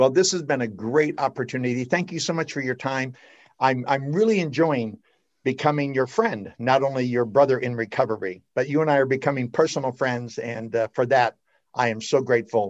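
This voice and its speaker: At a fairly quick pace, a man talks in a medium-pitched voice with ordinary pitch variation. The background is quiet. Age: 60s. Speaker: podcast host. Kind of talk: casual chat. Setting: studio. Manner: animated.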